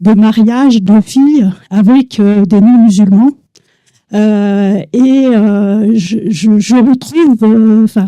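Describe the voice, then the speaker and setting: A woman speaks at a very slow pace in a dark, mellow tone, her fairly high pitch showing ordinary variation. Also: very even loudness. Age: 60s. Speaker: audience member. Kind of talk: audience question. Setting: cinema with audience. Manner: halting.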